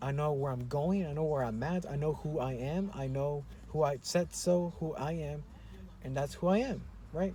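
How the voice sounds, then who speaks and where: A man with an American accent, fairly high-pitched, with a dark, mellow, somewhat breathy tone, moderate pace and ordinary pitch variation. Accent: American accent when speaking Spanish. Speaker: YouTuber. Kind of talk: personal vlog monologue. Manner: halting, many fillers.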